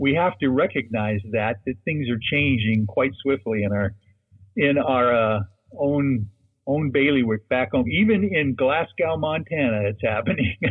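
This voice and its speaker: A man with an American accent uses an ordinary speaking voice at medium pitch, fairly slow, with lively intonation and very even loudness. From Seattle, Washington. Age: 60s. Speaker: lawyer and UFO researcher. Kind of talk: interview.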